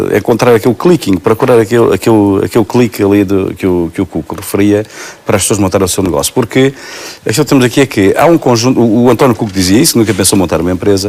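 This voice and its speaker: There is noticeable background noise as a man talks very fast at a fairly low pitch with ordinary pitch variation. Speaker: public employment official. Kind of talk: TV talk show interview.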